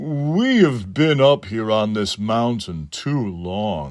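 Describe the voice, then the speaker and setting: A man's put-on character voice at medium pitch, very slow, with very wide pitch swings. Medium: read story. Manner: wary.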